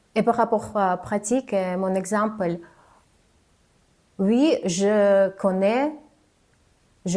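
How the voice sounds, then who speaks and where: A woman's dark, mellow voice at a very slow pace. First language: not French (speaking French). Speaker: communication coach, former TV journalist. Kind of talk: vlog tutorial. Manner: hesitant, frequent filler sounds; slower than native speech.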